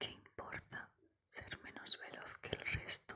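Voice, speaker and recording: A woman whispers. She goes at a very slow pace. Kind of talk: ASMR personal attention roleplay. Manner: whispered; soft-spoken, caring.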